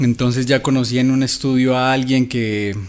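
Delivered in a flat monotone, this man's speech moves at a moderate pace. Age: 30s. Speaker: songwriter, musician and YouTuber. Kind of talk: casual chat.

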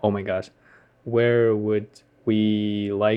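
The speaker has a Ukrainian accent and a monotone, flat intonation. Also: man. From Ukraine. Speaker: podcast co-host, English learner. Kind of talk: casual chat, answering listener questions. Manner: halting, searching for words.

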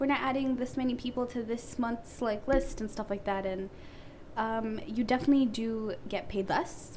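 Over noticeable background noise, a woman with a fairly high pitch speaks at a moderate pace and with fairly even intonation. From Canada. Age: 20s. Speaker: wig maker and hair business owner. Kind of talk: casual chat.

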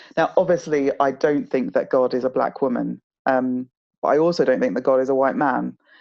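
A woman with a southern English accent speaks at a fairly quick pace with very even loudness. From southeast England (home counties, London suburbs), born in Nigeria. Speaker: author and charity communications executive. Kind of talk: interview conversation.

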